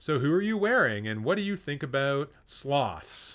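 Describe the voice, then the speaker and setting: Put-on character voice from a man, pitched fairly high, delivered at a moderate speed. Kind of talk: broadcast presenter. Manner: chatty, quirky, over-the-top.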